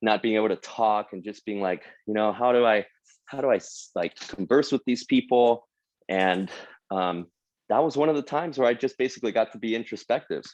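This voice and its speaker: Against a quiet background, a man with a Spanish accent speaks at a medium pitch in a dry, close sound with no echo. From Mexico. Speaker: motivational speaker, sales hall of famer. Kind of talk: motivational talk. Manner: casual.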